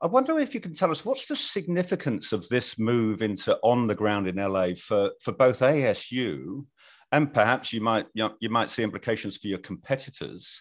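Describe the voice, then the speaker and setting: With hardly any pauses, a man with a British accent talks at a moderate pace with lively intonation over a quiet background. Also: medium pitch for a man. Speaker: podcast co-host. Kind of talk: casual chat; interview. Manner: halting.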